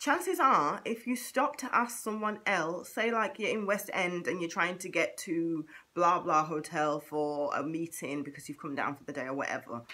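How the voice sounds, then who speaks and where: An upbeat, bright and sharp voice in a Manchester accent, with very wide pitch swings, big swings in loudness, and a moderate pace. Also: woman. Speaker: vlogger. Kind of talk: casual talk to camera. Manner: chatty, upbeat.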